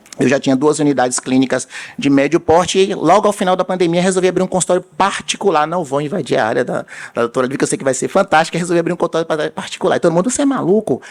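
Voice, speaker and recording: Noticeable background noise surrounds a man talking at a very fast pace with a high pitch. His intonation is lively, and the sound is dry and close with no echo. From Bahia, Brazil. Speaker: vascular surgeon. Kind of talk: conference talk. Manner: animated, storytelling.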